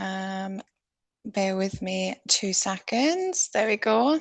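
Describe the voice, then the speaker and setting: A woman with a South Welsh accent speaks at a medium pitch over a quiet background. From South Wales. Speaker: conservation biologist. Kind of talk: presentation talk.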